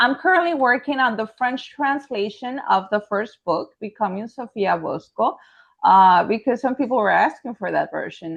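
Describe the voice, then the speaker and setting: Her pitch fairly high, a woman speaks at a moderate pace with a Spanish accent. Her voice moves in very wide pitch swings. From Mexico. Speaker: author and high school French teacher. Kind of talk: interview conversation.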